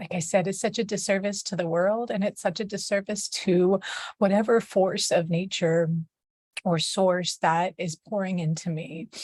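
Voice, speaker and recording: Her intonation fairly even, a woman talks in a somewhat breathy voice. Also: medium pitch for a woman, moderate pace. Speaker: mother. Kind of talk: casual talk to camera.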